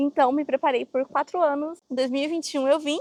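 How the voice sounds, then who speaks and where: The woman speaks at a high pitch. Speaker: vlogger. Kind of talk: casual storytelling.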